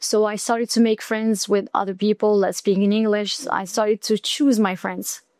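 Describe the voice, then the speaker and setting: The speaker uses an Arabic accent at a moderate pace. The recording is very clean with a silent background and a dry, close sound with no echo. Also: woman. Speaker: student. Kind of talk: casual chat.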